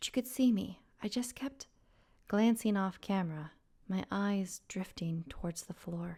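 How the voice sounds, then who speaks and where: Somewhat breathy and dark, mellow in tone, a woman speaks at a medium pitch with ordinary pitch variation. Her pace is fairly slow. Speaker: storyteller. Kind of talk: horror story narration. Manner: slow, atmospheric.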